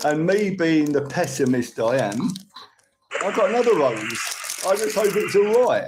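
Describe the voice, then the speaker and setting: A man with a high pitch talks at a moderate pace, swinging very widely in pitch and leaving long, frequent pauses. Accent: Cockney. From London, England. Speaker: live streamer. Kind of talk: casual chat. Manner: rambling.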